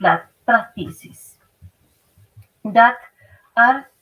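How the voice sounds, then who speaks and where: Speaking with a Spanish accent, a woman has a fairly high pitch. She talks at a fairly slow pace. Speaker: family association representative. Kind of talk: prepared statement. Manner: halting.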